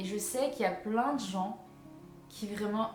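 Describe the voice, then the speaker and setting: Music plays behind a woman who talks very slowly at a medium pitch with ordinary pitch variation. Room echo is audible. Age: 20s. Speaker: vlogger. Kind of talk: casual monologue.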